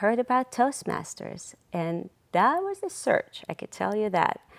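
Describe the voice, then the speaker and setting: Speaking at a very slow pace, a woman swings her pitch very widely on a very clean recording with a silent background. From outside the US. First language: not English. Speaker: nonprofit volunteer, social media and PR worker. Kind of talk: TV interview.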